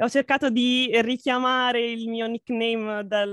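A woman with an ordinary speaking voice, pitched fairly high, keeps her intonation fairly even. The sound is dry and close, with no echo. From Italy. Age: 20s. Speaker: VTuber and graphic artist. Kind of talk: casual interview.

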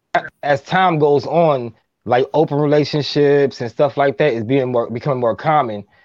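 Against a quiet background, a normal speaking voice with an American accent moves at a moderate pace with ordinary pitch variation. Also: man, fairly high pitch for a man. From Minneapolis, Minnesota. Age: 30s. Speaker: relationship podcaster. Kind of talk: casual chat.

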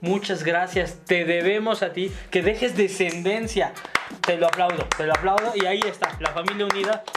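A high-pitched man at a moderate pace in a Mexico City accent, his intonation monotone and flat, with music in the background. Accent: central Mexican Spanish (Mexico City area). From Mexico, Ciudad Nezahualcóyotl (Estado de México). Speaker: stand-up comedian. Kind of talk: casual chat.

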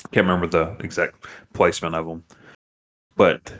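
A man is speaking. He goes at a very fast pace. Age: 30s. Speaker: umpire and podcast co-host. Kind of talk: casual chat.

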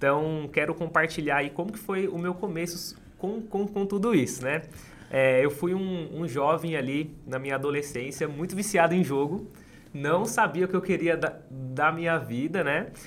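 A man talks in an ordinary speaking voice at a moderate pace. His pitch is fairly high, with ordinary pitch variation. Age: 20s. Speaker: street vendor and entrepreneur. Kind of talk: interview storytelling.

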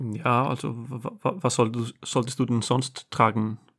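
Very slow speech in an Icelandic accent, on a very clean recording with a silent background. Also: man. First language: Icelandic (speaking German). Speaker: host's husband. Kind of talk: casual chat. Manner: halting.

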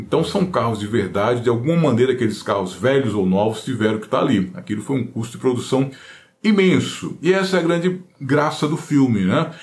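Somewhat breathy, a man talks at a fairly quick pace with very wide pitch swings and audible room echo. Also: medium pitch for a man. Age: 50s. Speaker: guitar YouTuber. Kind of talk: casual monologue.

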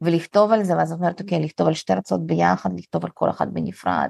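Talking at a very fast pace, a woman is heard in a dry, close sound with no echo. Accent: Russian. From Russian-speaking country, immigrated to Israel as a child (1991). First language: Russian (speaking Hebrew). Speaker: content creator and community founder. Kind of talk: casual chat.

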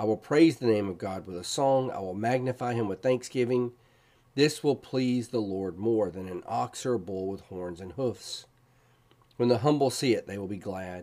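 Intense delivery from a man at medium pitch, dark and mellow in tone, with ordinary pitch variation, a moderate pace and big swings in loudness. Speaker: podcast host and Bible teacher. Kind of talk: devotional Bible teaching, with scripture read aloud as prayer. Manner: fervent, pleading prayer, intense and impassioned, reading the psalm's cries for help; earnest, explanatory, conversational.

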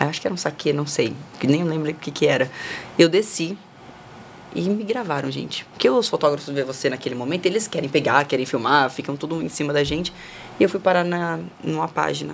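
Over noticeable background noise, a woman with a very deep, low pitch talks at a fairly quick pace, using ordinary pitch variation and long, frequent pauses. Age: 20s. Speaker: model and influencer. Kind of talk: casual chat. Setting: studio.

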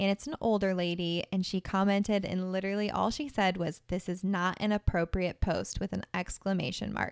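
An ordinary speaking voice at a moderate pace. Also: woman. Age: 20s. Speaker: podcast co-host. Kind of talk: casual chat.

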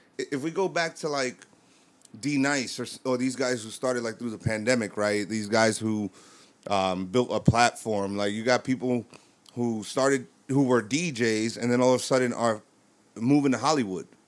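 Here is a man with a New York accent. His pitch sits in the medium range. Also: ordinary pitch variation, moderate pace. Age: 30s. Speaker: DJ and army veteran. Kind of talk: casual chat.

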